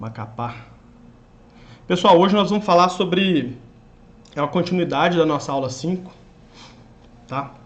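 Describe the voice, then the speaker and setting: A man with a high pitch speaks at a moderate pace, his intonation lively and broken by long, frequent pauses. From Minas Gerais, Brazil. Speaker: online exam-prep teacher. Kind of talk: live stream chat with viewers. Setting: live stream.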